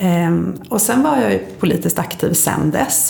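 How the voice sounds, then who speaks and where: A woman at a fairly slow pace with very wide pitch swings, audible room echo and noticeable background noise. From Sweden, Linköping (Östergötland). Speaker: politician and author. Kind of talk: interview conversation.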